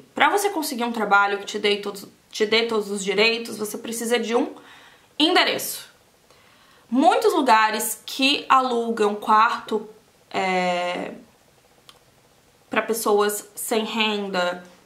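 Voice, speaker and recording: Long, frequent pauses mark a woman's very slow speech, delivered with a Brazilian accent and ordinary pitch variation. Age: 30s. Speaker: beauty vlogger, aesthetician. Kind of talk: casual talk to camera while doing makeup.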